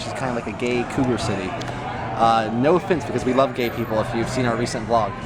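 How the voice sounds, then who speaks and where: A man's fairly quick speech comes through audible room echo and noticeable background noise. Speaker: vlogger. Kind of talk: casual vlog chat. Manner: loud, projecting; animated.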